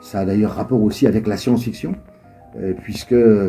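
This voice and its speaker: A man's voice comes across dark and mellow in tone. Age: 70s. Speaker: writer. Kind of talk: interview answers to school pupils. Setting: school library. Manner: hesitant with frequent fillers.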